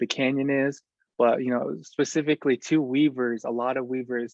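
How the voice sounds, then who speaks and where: American-accented male speech at a moderate pace, medium in pitch, with fairly even intonation. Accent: Navajo English. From Navajo Nation, US Southwest. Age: 20s. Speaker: weaver and artist. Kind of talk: presentation. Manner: many filler words, hesitant.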